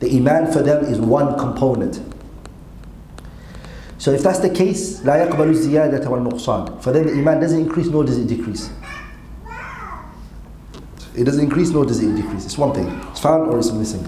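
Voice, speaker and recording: A man at a moderate pace with ordinary pitch variation and long, frequent pauses, audible room echo and crowd noise behind him. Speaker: religious teacher. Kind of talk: lecture. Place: classroom. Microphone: podium.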